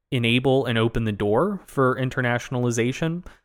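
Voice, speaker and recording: A man's medium-pitched voice with ordinary pitch variation, very clean recording, silent background. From US South. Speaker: podcast co-host. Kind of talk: casual live Q&A conversation. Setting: live video stream.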